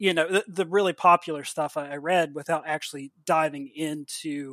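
This man has an ordinary speaking voice, a fairly high pitch, and an American accent. He talks at a moderate pace with fairly even intonation on a very clean recording with a silent background. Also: dry, close sound with no echo. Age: 30s. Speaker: comic book writer. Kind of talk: casual interview.

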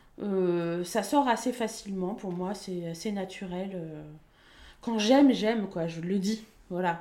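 Audible room echo surrounds a woman whose dark, mellow tone moves at a fairly slow pace. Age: 30s. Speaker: local radio presenter. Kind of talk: casual chat.

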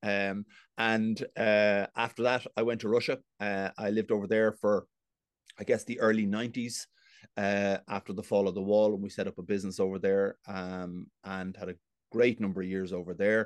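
A man's fairly low voice with a Dublin accent, monotone and flat, at a moderate pace, with a dry, close sound, no echo and a quiet background. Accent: Dublin Irish. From Dublin, Ireland. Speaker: business executive. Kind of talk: casual interview chat.

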